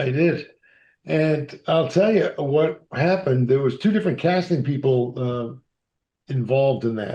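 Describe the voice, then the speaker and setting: Speaking slowly but not very slowly, a man with an American accent has a fairly high, somewhat breathy voice with a dark, mellow tone over a quiet background. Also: ordinary pitch variation. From Massachusetts, US. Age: 60s. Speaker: actor and author. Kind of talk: interview storytelling.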